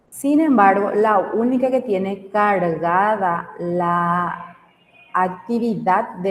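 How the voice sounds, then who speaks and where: There is audible room echo around a woman's voice. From Paraguay, Capiatá. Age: 30s. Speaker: teacher. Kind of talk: online class lecture.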